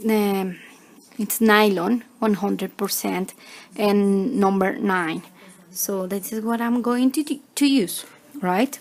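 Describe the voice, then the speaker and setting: Speaking very slowly with a non-native accent, a woman uses ordinary pitch variation. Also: medium pitch for a woman. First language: Spanish. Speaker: crochet tutorial maker. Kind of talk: tutorial. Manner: halting, many fillers.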